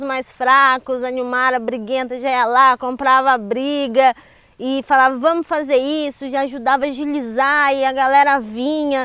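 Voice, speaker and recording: Fairly slow and monotone, a woman speaks with flat intonation at a high pitch. The sound is dry and close, with no echo. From Ubatuba, São Paulo coast, Brazil. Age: 30s. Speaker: popular educator and community leader. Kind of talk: interview.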